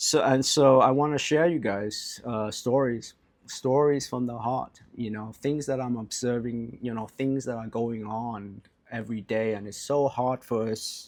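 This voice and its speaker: Using a medium pitch and fairly even intonation, a man with an American accent speaks at a fairly slow pace. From California. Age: 40s. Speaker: life coach. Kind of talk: casual vlog monologue. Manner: unscripted, with frequent fillers and repetitions.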